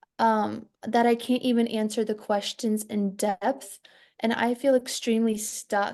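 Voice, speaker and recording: This voice has a dark, mellow tone and a non-native accent. It moves at a moderate pace against a quiet background. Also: woman. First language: not English. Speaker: student. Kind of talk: casual chat. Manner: halting.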